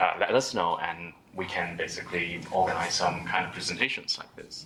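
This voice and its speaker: A man's voice over noticeable background noise. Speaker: data meetup organizer and speaker. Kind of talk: tech meetup talk. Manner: halting, many fillers.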